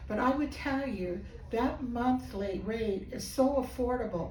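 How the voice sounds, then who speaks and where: A woman with a fairly high pitch and ordinary pitch variation speaks at a fairly slow pace. Noticeable background noise and audible room echo fill the recording. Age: 70s. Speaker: physical therapy patient giving a testimonial. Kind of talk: testimonial interview. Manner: animated.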